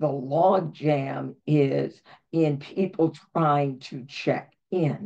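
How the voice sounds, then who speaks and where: Vocal fry runs through a woman's very deep, low voice, which has a dark, mellow tone and ordinary pitch variation. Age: 70s. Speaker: voter outreach organizer. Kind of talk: webinar Q&A.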